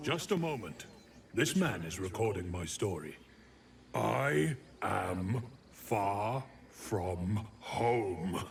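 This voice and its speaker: A man's put-on character voice, fairly low and very slow, with long, frequent pauses over clear background noise. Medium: video game. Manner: plaintive, frustrated.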